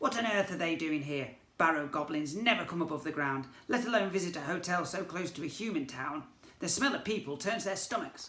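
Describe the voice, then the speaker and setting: In a put-on character voice, a man sounds gruff and high-pitched, moving at a fairly quick pace with lively intonation and slight echo. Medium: read story. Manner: gruff, brusque, rude.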